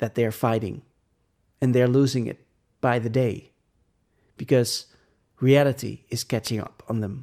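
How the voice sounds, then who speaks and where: Long, frequent pauses break up this speech with a Dutch accent. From Netherlands. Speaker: podcast host. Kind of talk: reading aloud with commentary. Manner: halting.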